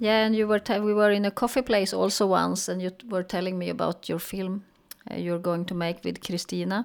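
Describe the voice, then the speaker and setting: A woman speaks with a Swedish accent. Her pitch is medium. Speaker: film festival founder. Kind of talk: interview. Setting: video call.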